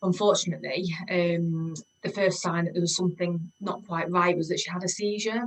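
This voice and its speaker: Speaking with a slight Yorkshire accent, a woman uses a fairly low pitch and a monotone, flat intonation at a moderate pace. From Yorkshire, northern England (Leeds, York). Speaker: homecare business owner, former mental health nurse. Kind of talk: interview. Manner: hesitant, many fillers and repetitions.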